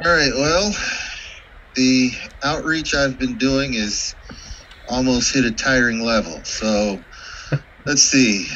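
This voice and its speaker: There is light background noise as a man talks at a very slow pace. His pitch is medium and his intonation lively. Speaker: astronomy club board member. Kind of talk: club business meeting. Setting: video call. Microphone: video call.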